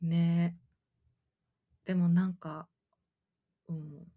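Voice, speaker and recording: A woman with a fairly low pitch speaks at a fairly slow pace in a dark, mellow tone. Her voice is somewhat breathy, and the sound is dry and close with no echo. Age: 30s. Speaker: freelancer and podcast co-host. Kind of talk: casual chat.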